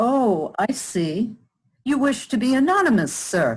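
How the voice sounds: Using a put-on character voice, a woman speaks fairly slowly in a fairly high pitch with big pitch swings, a slightly mellow tone and a slightly husky edge.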